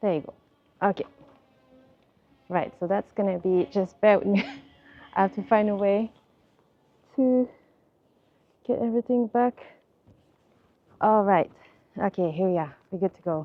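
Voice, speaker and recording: A woman speaks at a moderate pace with medium pitch and ordinary pitch variation. She leaves long, frequent pauses. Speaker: vlogger. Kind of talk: walking vlog narration. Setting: outdoors walking London streets.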